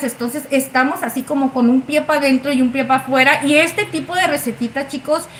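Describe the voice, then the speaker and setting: High-pitched woman's voice, animated in tone, at a moderate pace with ordinary pitch variation and noticeable background noise. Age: 30s. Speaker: cooking livestream host. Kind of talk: live cooking stream chat.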